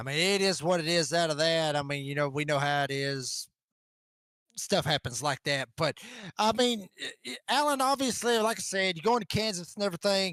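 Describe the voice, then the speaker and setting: A high-pitched man speaks with lively intonation in a dry, close sound with no echo. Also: moderate pace. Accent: Georgia. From US South, northwest Georgia (Rome). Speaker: sim racing broadcaster, post-race interviewer. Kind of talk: post-race interviews. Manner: casual, halting.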